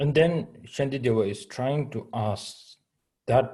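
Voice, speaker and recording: In a Tibetan accent, a man speaks at a very slow pace, somewhat breathy, with a dark, mellow tone. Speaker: Buddhist teacher. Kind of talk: dharma teaching. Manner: halting English with many fillers.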